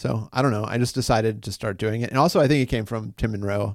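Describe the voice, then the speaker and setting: Pitched fairly low, a man speaks very fast with vocal fry and ordinary pitch variation. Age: 40s. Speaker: podcast host and musician. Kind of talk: casual interview conversation; podcast introduction. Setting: office.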